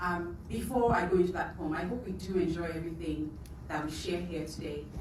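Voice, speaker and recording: Amid noticeable background noise, a woman with a Nigerian accent speaks at a fairly low pitch. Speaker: writer and poet. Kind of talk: spoken introduction to audience. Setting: live event.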